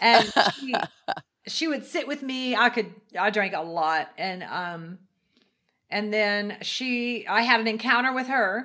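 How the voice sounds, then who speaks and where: Bright and sharp in tone, a woman with an American accent speaks at a fairly slow pace with lively intonation and long, frequent pauses. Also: fairly high pitch for a woman. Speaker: ministry leader, former singer. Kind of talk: testimony.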